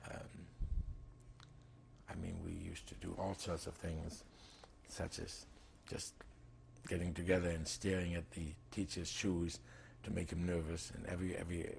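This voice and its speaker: This man's very deep, low voice is somewhat breathy, with fairly even intonation broken by long, frequent pauses. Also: moderate pace. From Germany (Breslau). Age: 60s. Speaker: Holocaust survivor. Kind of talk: oral history interview. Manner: halting, many fillers.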